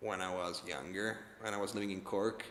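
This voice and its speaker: Speaking in an Italian accent, a man has a fairly low pitch and a bright, sharp tone. His intonation stays monotone and flat. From Italy, Rome. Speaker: film director. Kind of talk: interview. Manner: halting, with many repetitions and fillers.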